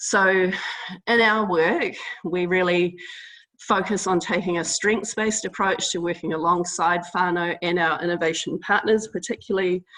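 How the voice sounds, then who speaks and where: Here a woman talks with a New Zealand accent. Her voice is fairly low in pitch. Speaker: public health innovation team member. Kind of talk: webinar presentation. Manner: hesitant, many fillers.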